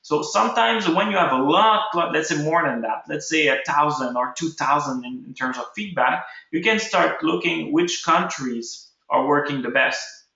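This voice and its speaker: A man's fairly high voice with lively intonation at a moderate pace, in a room with audible echo. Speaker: ecommerce webinar host. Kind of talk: tutorial. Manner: halting.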